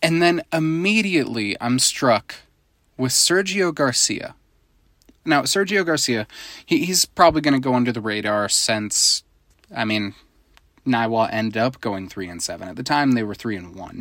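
In a very clean recording with a silent background, a man with an American accent speaks at medium pitch and a moderate pace in an animated tone, with very wide pitch swings, big swings in loudness and long, frequent pauses. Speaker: high school football podcast co-host. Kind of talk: casual podcast monologue. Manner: animated, laughs often.

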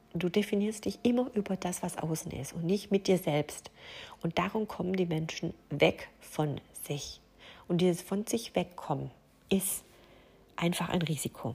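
A woman with a fairly low, somewhat breathy voice speaks at a fairly slow pace. Long, frequent pauses break up her speech, and her pitch varies in an ordinary way. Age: 40s. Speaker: life coach and podcast host. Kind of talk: solo podcast monologue. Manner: hesitant, with frequent fillers.

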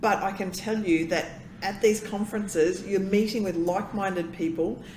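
In an Australian accent, a woman talks at a moderate pace. Her pitch is medium and her intonation fairly even. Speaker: consultant and emcee. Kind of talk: casual interview chat.

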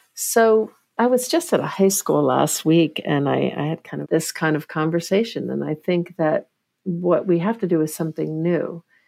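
A woman talks at a moderate pace, captured in a very clean recording with a silent background. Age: 50s. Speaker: professor and neuroscientist. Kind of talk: interview.

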